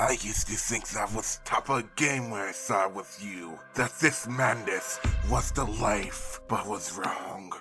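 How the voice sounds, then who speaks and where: Over clear music in the background, a man talks at a fairly slow pace in a cartoonish character voice. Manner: theatrical, gloating, menacing; bossy, angry.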